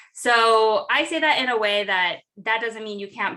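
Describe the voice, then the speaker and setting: In a very clean recording with a silent background, a woman with an American accent speaks loudly at a moderate pace in a bright, sharp tone. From Southern California. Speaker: entrepreneur and connection strategist. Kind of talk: interview. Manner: animated.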